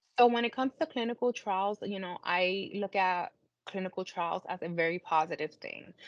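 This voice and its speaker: A woman with an American accent has a plain, everyday voice at medium pitch and a moderate pace. The background is quiet, and the sound is dry and close with no echo. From US Northeast, Brooklyn, New York. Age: 30s. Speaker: cancer patient, clinical trial participant. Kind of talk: interview testimony.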